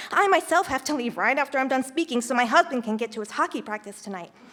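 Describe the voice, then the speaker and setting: A woman talks very fast, her pitch varying normally, as noticeable noise fills the background. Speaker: teacher, public commenter. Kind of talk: public comment speech. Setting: school board meeting room.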